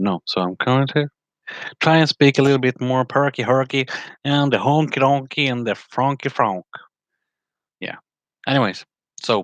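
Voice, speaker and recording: Recorded dry and close with no echo over a quiet background, a man speaks at medium pitch with ordinary pitch variation and long, frequent pauses. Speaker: spiritual vlogger. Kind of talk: casual monologue on spirituality. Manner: slow; halting, many fillers.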